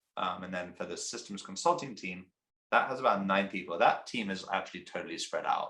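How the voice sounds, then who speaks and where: The speaker is a man with an English accent. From England. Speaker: company CEO. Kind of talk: interview.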